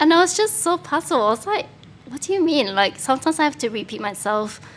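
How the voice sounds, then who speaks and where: Someone talks at a fairly quick pace, the pitch swinging very widely. Noticeable background noise runs underneath. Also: woman. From Singapore. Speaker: former international student. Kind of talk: casual interview chat.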